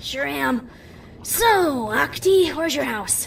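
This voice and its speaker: A female-sounding voice puts on a character voice at a high pitch and a fairly slow pace, with clear background noise. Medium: read story. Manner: casual, teasing.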